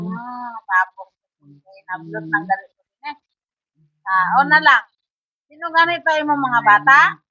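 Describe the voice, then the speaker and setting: The delivery shows very wide pitch swings and big swings in loudness, broken by long, frequent pauses. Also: woman, high pitch for a woman, fairly slow pace. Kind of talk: casual talk to camera. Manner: coaxing, patient questioning.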